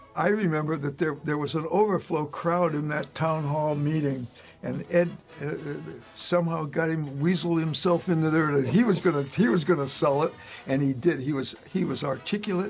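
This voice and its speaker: Music in the background behind a man with a fairly high pitch, ordinary pitch variation and a moderate pace. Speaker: former high school band director. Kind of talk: reminiscing group conversation. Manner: halting, repetitive.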